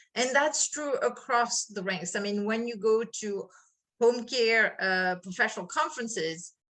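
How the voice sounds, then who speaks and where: A woman speaks at a fairly slow pace with a French accent, her pitch fairly high. Her tone is bright and sharp, with ordinary pitch variation. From France. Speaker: HR consultant. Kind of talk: interview.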